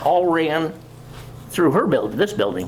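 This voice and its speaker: A man with an American accent speaks at a fairly slow pace, with audible room echo and noticeable background noise. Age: 80s+. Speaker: local historian presenter. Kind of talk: community talk with slides. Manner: halting.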